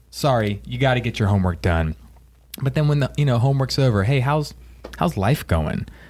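Somewhat breathy and at a medium pitch, a man talks at a fairly quick pace with very wide pitch swings. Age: 30s. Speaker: church podcast host. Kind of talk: casual chat.

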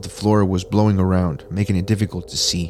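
At a moderate pace, a man speaks in a plain, everyday voice with a fairly low pitch. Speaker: horror story narrator. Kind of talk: horror story narration, read aloud. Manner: tense, hushed, suspenseful storytelling; casual, upbeat host.

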